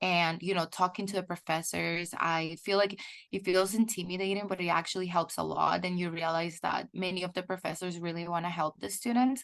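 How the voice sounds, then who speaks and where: A woman's medium-pitched voice at a moderate pace, with fairly even intonation against a quiet background. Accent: Spanish. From El Salvador. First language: Spanish. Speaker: PhD student in chemical engineering. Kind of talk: webinar interview.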